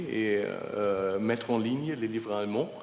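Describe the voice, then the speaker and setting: Over noticeable background noise, a man with a non-native accent speaks fairly slowly and with fairly even intonation. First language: German (speaking French). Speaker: publishers' association representative, panelist. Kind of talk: panel discussion. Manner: halting.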